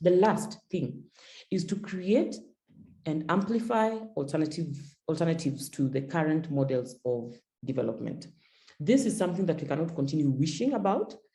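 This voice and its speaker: With a very deep, low pitch and a dark, mellow tone, a woman speaks somewhat breathily, leaving long, frequent pauses, while room echo is audible. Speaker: feminist climate advocate, panelist. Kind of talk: panel discussion, webinar talk. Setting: video call webinar with interpretation. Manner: fast; repetitive, with frequent stammered repeats.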